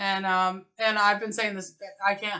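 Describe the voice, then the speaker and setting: Loud and with a bright, sharp tone, a woman speaks at a fairly slow pace. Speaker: spiritual podcast co-host. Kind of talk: casual chat. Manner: animated.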